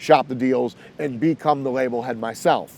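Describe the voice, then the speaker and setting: A man speaks at a medium pitch with fairly even intonation in a normal speaking voice. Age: 40s. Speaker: hip-hop A&R executive. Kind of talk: interview. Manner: casual, with filler words.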